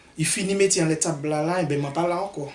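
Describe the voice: This man talks at a fast pace with a fairly high pitch for a man. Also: ordinary pitch variation.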